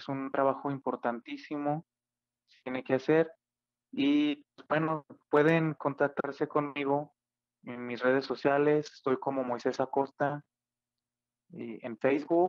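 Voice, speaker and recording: With a fairly high pitch and monotone, flat intonation, a man speaks with long, frequent pauses. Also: fairly slow pace. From Mexico, Aguascalientes. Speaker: classical guitarist and composer. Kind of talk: interview.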